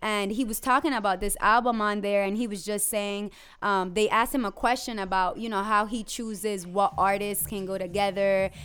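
A plain, everyday voice moves at a moderate pace with hardly any pauses and fairly even intonation, recorded very cleanly against a silent background. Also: woman, medium pitch for a woman. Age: 20s. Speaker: podcast co-host. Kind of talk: casual chat.

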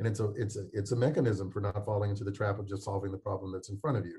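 In a dark, mellow tone, a man speaks somewhat breathily at a fairly low pitch with fairly even intonation. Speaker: researcher. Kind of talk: interview answer.

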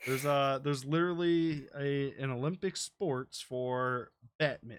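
In a plain, everyday voice, a man with an American accent speaks at a fairly high pitch with ordinary pitch variation. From United States. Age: 20s. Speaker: podcast host, gamer. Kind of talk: casual chat. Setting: live stream from home.

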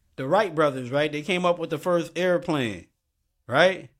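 A man with a northeastern US accent speaks at a moderate pace with ordinary pitch variation, on a very clean recording with a silent background. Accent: urban northeastern US. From Bridgeport, Connecticut. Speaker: podcast host. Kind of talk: casual conversation. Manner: informal, repetitive, conversational.

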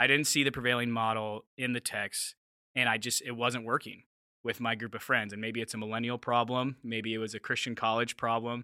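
Using an American accent, a man speaks at a fairly quick pace with a medium pitch and a bright, sharp tone, his intonation monotone and flat. The recording is very clean with a silent background and a dry, close sound with no echo. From US Southwest, Mesa, Arizona. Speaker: church planter. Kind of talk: casual interview.

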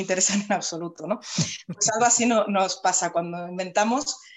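This woman has a plain, everyday voice, medium in pitch and delivered at a fairly quick pace. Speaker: writing teacher and author. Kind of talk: casual chat.

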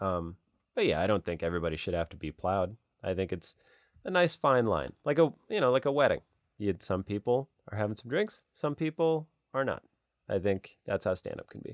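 With an American accent, a man talks at a fairly quick pace in a fairly low pitch, his voice making very wide pitch swings and big swings in loudness, recorded dry and close with no echo against a quiet background. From US Midwest. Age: 30s. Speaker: comedian. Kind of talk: casual chat. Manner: animated.

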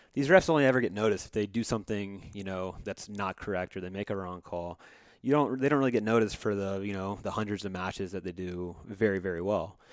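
A man with an American accent, fairly low pitch, ordinary pitch variation and a very fast pace. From US South, Georgia. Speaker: podcast co-host. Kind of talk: casual chat.

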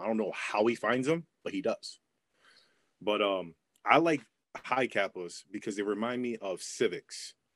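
A man's ordinary speaking voice, medium in pitch, with ordinary pitch variation at a moderate pace. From New York. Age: 30s. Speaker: airsoft player. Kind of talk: casual chat.

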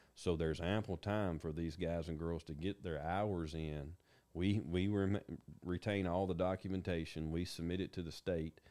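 A dark, mellow voice speaks in a Tennessee accent at a moderate pace with fairly even intonation. The recording is very clean, with a silent background. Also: man, very deep, low pitch for a man. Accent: Southern US (Tennessee). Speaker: county emergency management director. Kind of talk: interview.

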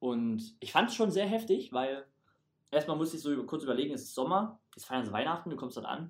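A man at a fairly high pitch and fairly quick pace, with big swings in loudness. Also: lively intonation. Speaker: stage performer at a holiday camp. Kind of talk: casual chat.

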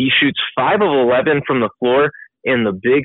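The voice belongs to a man and is a plain, everyday voice. His pitch varies in an ordinary way. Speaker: college basketball podcast co-host.

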